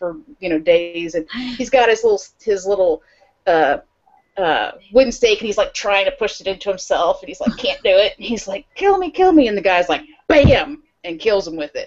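A woman talks at a moderate pace. Her loudness swings widely. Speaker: podcast co-host. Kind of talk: casual conversation, retelling a film plot. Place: home room. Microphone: earbuds.

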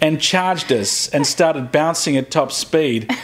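Speaking at a fairly slow pace, a man with an Australian accent uses lively intonation at a fairly high pitch. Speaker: video blogger. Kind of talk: casual chat. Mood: humorous, joking. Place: home room. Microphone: lapel.

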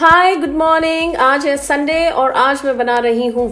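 Her voice is high in pitch for a woman. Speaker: home vlogger. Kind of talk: casual vlog chat. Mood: warm, cheerful. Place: home room. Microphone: phone near.

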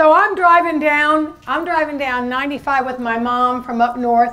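Here a woman speaks at a high pitch. Her pitch variation is ordinary. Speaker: presenter. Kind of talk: seminar talk with anecdote. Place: meeting room. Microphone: handheld.

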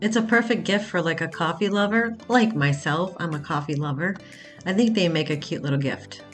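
Faint music plays behind a woman's voice. She talks at a fairly quick pace with a fairly low pitch. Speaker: shopping vlogger. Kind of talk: casual vlog chat. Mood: enthusiastic, upbeat. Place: shop. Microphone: phone near.

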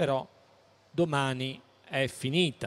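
This is a male speaker. The rise and fall of his pitch is ordinary. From Naples, southern Italy; southern Italy. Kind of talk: public talk. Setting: stand at a public fair with audience. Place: hall. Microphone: handheld.

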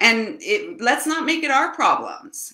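A woman's raised, projected voice, high-pitched and bright and sharp in tone, at a moderate pace, with audible room echo against a quiet background. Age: 50s. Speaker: spiritual channel host, card reader. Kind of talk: live stream oracle card reading. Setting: live video stream. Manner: casual, rambling with fillers. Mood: warm, earnest. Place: home room. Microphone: webcam.

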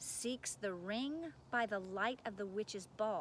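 The voice reads naturally. Its pitch rises and falls in an ordinary way.

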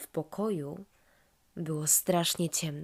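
Her dark, mellow tone unfolds at a very slow pace as this woman speaks. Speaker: storyteller. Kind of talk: children's bedtime story narration.

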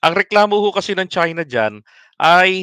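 A bright, sharp tone at a fairly slow pace, dry with no echo, over a quiet background. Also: man. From Philippines. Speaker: political commentary livestreamer. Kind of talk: live stream commentary. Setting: late-night live stream.

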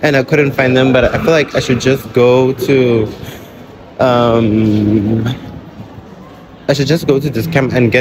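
A man talks at a moderate pace. Noticeable background noise runs behind him. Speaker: vlogger. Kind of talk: casual vlog chat. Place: shop. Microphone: phone near.

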